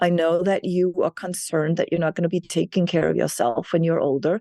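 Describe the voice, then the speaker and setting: Here a woman speaks with a dark, mellow tone. The sound is dry and close with no echo, and the background is quiet. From Denmark. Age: 60s. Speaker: keynote speaker and author. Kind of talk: interview conversation.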